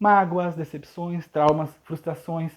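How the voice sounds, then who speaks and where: This man speaks in a high voice. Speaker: preacher. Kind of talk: sermon. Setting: livestream. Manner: fast.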